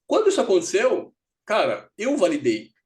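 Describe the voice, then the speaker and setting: A man's voice with very wide pitch swings. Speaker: career mentor and investment educator. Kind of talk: live mentoring session. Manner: fast; animated, halting repetitions.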